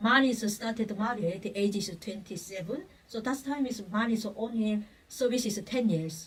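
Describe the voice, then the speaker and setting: A woman with a Korean accent, at a fairly high pitch and a moderate pace, with ordinary pitch variation. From North Korea. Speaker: human rights activist, North Korean defector. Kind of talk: interview answer.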